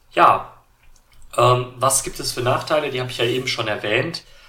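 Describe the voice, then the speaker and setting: Medium-pitched male voice, bright and sharp in tone, at a moderate pace with audible room echo. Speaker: tech YouTuber and podcaster. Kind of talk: solo tech podcast monologue. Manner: many filler sounds (äh, ähm).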